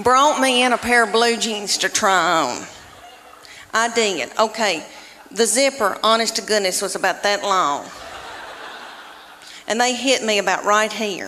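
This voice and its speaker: A woman with a Southern US accent and a fairly high pitch speaks at a fairly slow pace, leaving long, frequent pauses. Noticeable background noise runs underneath. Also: ordinary pitch variation. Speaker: stand-up comedian. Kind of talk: stand-up comedy routine.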